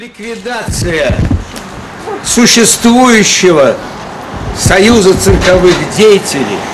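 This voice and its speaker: Against noticeable background noise, a man with a high voice speaks at a very slow pace with ordinary pitch variation and long, frequent pauses. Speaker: circus clown. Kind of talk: public appeal to camera. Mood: earnest, aggrieved. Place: street. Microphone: camera far.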